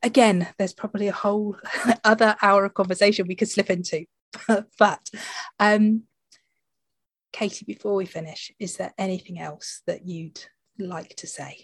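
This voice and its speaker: At a moderate pace and medium pitch, a woman speaks in a somewhat breathy voice, with big swings in loudness and long, frequent pauses. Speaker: podcast host. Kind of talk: casual chat.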